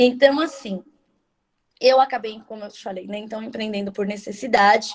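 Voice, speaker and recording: This is an unremarkable speaking voice at a moderate pace with ordinary pitch variation. Its loudness swings widely. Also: woman, fairly high pitch for a woman. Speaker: nutritionist. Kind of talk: online talk.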